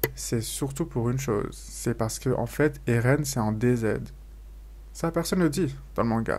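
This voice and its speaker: A man is speaking. His pace is fairly slow. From France. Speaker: YouTuber. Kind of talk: casual vlog monologue. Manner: casual with many fillers.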